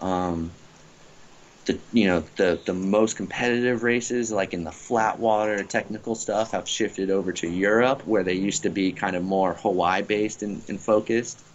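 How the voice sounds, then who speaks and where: In an American accent, a man speaks at a moderate pace with a fairly low pitch and fairly even intonation, an unremarkable speaking voice. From US South, Florida Gulf Coast. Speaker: professional stand-up paddleboard racer. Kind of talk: casual interview. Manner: relaxed, many fillers.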